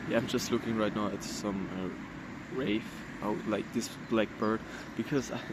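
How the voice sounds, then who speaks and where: Noticeable background noise sits behind the recording. A man speaks with monotone, flat intonation. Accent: non-native. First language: not English. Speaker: vlogger. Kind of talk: personal vlog monologue. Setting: outdoors. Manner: halting.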